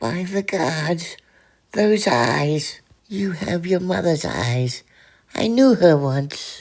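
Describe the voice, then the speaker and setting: This cartoonish character voice sits at a middle pitch and moves at a very slow pace. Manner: cryptic.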